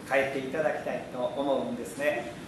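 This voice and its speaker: A man talks at a moderate pace with audible room echo and noticeable background noise. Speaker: Buddhist preacher. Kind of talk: sermon talk to temple audience. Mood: cheerful, smiling. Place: church. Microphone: camera far.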